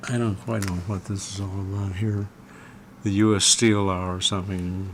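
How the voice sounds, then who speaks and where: A man talks with a very deep, low pitch and ordinary pitch variation. Noticeable background noise sits behind him. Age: 70s. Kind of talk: interview answer. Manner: casual, reminiscing.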